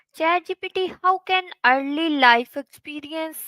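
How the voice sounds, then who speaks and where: A woman's raised, projected voice with a Pakistani accent, at a very slow pace with ordinary pitch variation, in a dry, close sound with no echo. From Pakistan, Punjab (Kasur). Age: young. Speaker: content creator. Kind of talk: interview. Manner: halting.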